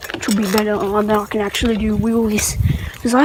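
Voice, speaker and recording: A woman with an Australian accent talks at a fairly quick pace in a fairly high pitch, with audible room echo and noticeable background noise. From Australia, Tasmania. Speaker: beginner bike vlogger. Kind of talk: casual vlog while riding. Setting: outdoors on a bike.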